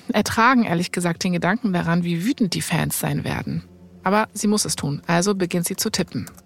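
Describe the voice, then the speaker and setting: Her voice is fairly low for a woman, with vocal fry and ordinary pitch variation. She talks at a moderate pace. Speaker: podcast host, storyteller. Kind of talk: narrated storytelling in casual conversation.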